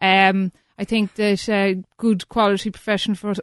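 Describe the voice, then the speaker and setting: Against a quiet background with a dry, close sound and no echo, a woman with a Cork accent speaks at medium pitch. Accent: Cork Irish. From East Cork, Ireland. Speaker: estate agency co-founder. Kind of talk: radio interview. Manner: hesitant, many fillers.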